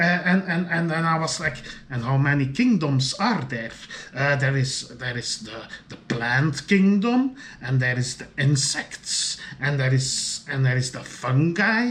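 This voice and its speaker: Over noticeable background noise, a man with a fairly high pitch talks fairly slowly with lively intonation. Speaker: video diarist. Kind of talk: solo video diary monologue. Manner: halting, many fillers and repetitions.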